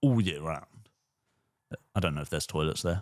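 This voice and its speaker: Over a silent background in a very clean recording, a man mumbles at a very fast pace in a very deep, low voice. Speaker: podcast co-host. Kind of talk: casual chat. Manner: mumbling.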